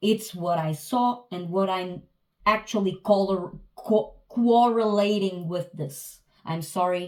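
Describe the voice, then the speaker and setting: Recorded very cleanly against a silent background, a woman speaks with fairly even intonation. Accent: non-native. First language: not English. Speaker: tarot reader. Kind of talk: tarot reading. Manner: halting, many hesitations and restarts.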